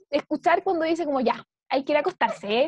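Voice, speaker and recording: A woman's extremely high voice with a Chilean accent, fairly quick, dry and close with no echo. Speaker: podcast co-host. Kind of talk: casual chat.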